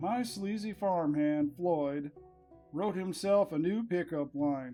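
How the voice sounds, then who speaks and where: With an American accent, a man speaks at a very slow pace in a high pitch and very even loudness while music plays in the background. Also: ordinary pitch variation. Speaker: narrator. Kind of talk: humorous book reading of folksy quips.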